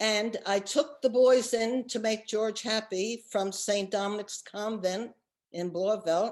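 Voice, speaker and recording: A woman's fairly high voice with an American accent, very slow and fairly even in intonation, over a quiet background. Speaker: oral history interviewee. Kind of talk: oral history testimony.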